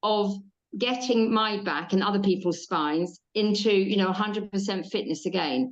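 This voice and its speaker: In an English accent, a woman talks at a moderate pace and a medium pitch. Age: 60s. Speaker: podcast host. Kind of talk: interview.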